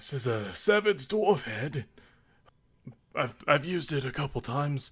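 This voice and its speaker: Putting on a raspy character voice, a man with a fairly high pitch speaks at a moderate pace with lively intonation. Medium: actual play. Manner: casual, offhand.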